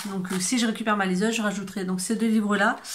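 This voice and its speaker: A woman speaks at medium pitch in a somewhat breathy voice. Her intonation is monotone and flat. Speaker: book youtuber. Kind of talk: casual vlog talk. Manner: hesitant, many fillers.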